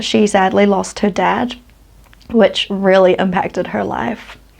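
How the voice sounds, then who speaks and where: The speaker has a New Zealand accent. The delivery is fairly slow. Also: woman. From New Zealand, West Auckland. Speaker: true crime youtuber. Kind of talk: storytelling narration. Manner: casual, conversational.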